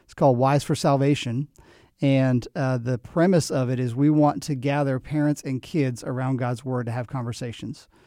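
A man with an American accent speaks in a dark, mellow tone with fairly even intonation but big swings in loudness. The recording is very clean, with a silent background. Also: medium pitch for a man, moderate pace. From New Jersey. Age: 40s. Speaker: pastor. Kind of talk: interview conversation.

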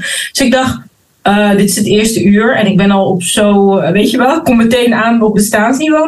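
Here is a woman with an unremarkable speaking voice and medium pitch. Her pace is moderate. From Netherlands, Rotterdam. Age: 30s. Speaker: spiritual leadership mentor and author. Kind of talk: interview. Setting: video call.

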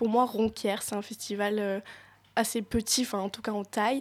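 On a very clean recording with a silent background, a woman speaks in a flat monotone at a moderate pace with fairly high pitch. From French Alps (Hautes-Alpes). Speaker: co-host and stand-up comedian. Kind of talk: radio chronicle.

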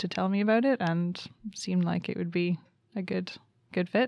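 A woman with a Canadian accent uses a normal speaking voice, medium in pitch, with fairly even intonation. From Canada. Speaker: master's student in wildlife management. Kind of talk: casual interview.

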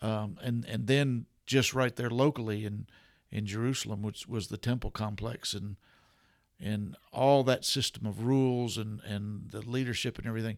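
A man speaks in an unremarkable speaking voice at medium pitch and a moderate pace, his intonation fairly even, on a very clean recording with a silent background. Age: 60s. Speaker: pastor. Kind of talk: casual chat.

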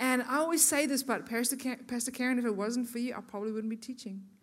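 A woman with a South African accent, high-pitched and fairly quick. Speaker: guest speaker at women's church event. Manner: warm, chatty, engaging.

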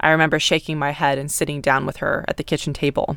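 A woman with an American accent talks at a very fast pace and a very deep, low pitch for a woman. The recording is very clean, with a silent background. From US, North Texas. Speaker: podcaster. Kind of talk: personal storytelling.

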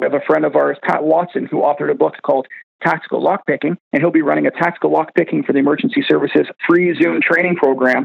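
A man speaks at a very fast pace, keeping his loudness very even. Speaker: fire training company representative. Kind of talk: promotional segment.

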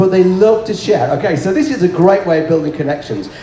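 With a northern English accent, a man speaks at a high pitch over noticeable background noise. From northern England. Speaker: ordained minister and board game ministry speaker. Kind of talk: conference talk with audience. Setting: stage with audience.

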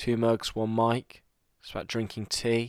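The sound is dry and close with no echo. A man talks at a medium pitch. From East Midlands, England (Loughborough). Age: 20s. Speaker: podcast co-host, student. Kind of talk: casual chat.

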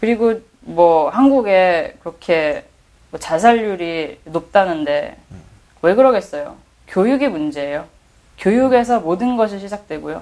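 A woman with a normal speaking voice talks at a fairly slow pace and medium pitch, with big swings in loudness. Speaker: art critic. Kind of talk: casual chat.

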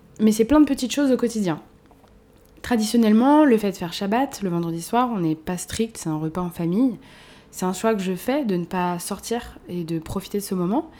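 With a dark, mellow tone, a woman speaks at a medium pitch. Her intonation is lively and her pace moderate. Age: 20s. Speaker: podcast host. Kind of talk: personal monologue. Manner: casual, hesitant with fillers.

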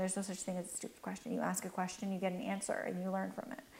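The speech comes at a very fast pace. It has a Canadian accent. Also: woman. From Canada. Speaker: cosmetics entrepreneur. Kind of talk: interview.

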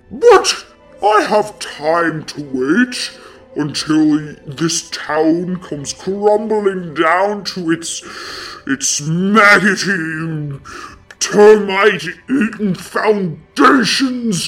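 A woman booms in a put-on character voice at a very slow pace and a medium pitch. Faint music plays in the background. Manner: haughty, menacing, contemptuous.

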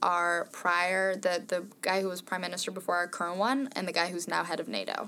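Speaking in a Norwegian accent, a woman has a medium pitch and a bright, sharp tone. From Norway. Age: 20s. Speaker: podcast panelist. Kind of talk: casual chat.

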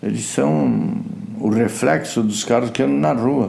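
Lively in intonation yet fairly slow in pace, a man's dark, mellow voice carries audible room echo. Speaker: retired racing driver. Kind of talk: interview. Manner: animated.

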